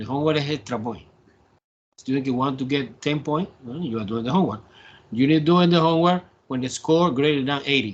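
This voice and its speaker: A man with a Spanish accent speaks very fast at a fairly high pitch. His pitch variation is ordinary, broken by long, frequent pauses. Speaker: math professor. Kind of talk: online class lecture. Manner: halting.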